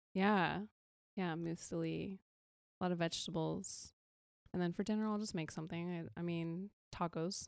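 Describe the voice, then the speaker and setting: In a very clean recording with a silent background, a woman with an American accent speaks at a moderate pace in a monotone, flat intonation, leaving long, frequent pauses. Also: fairly low pitch for a woman. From California. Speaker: photographer and influencer. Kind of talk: interview.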